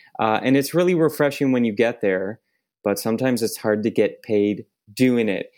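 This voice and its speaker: A man speaks with an unremarkable speaking voice at a medium pitch. He keeps a moderate pace and ordinary pitch variation. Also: very even loudness. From Ontario, Canada (Oakville, Toronto suburb). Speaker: podcast host. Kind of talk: scripted introduction; casual chat. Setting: video call.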